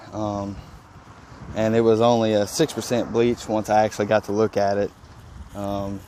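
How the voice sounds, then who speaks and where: In a strong Mississippi accent, a man talks at a moderate pace in a fairly low voice with monotone, flat intonation. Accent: heavy Mississippi Southern. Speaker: pressure washing business owner, vlogger. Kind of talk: casual vlog narration. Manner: halting, many fillers.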